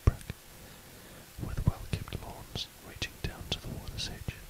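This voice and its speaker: Whispering, a man talks over noticeable background noise. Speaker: whispered bedtime reader. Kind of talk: sleep story / audiobook reading. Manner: whispered, soft.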